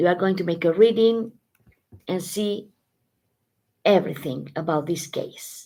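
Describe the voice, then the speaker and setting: A woman in a Spanish accent, dark, mellow tone, long and frequent pauses. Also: ordinary pitch variation, fairly slow pace. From Spain. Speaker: tarot reader. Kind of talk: live stream tarot reading. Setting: live stream. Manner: halting, self-correcting.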